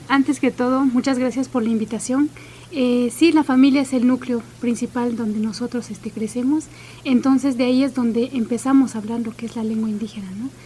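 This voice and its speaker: Over noticeable background noise, a woman talks fairly quickly at a high pitch with fairly even intonation. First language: Chinantec (speaking Spanish). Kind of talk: radio interview.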